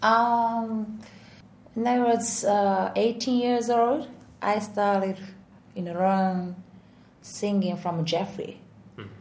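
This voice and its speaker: Speaking in a Japanese accent, a somewhat breathy woman at a medium pitch uses fairly even intonation at a very slow pace, with long, frequent pauses and big swings in loudness. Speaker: singer and vocal coach. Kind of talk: casual interview in English. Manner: halting, many fillers.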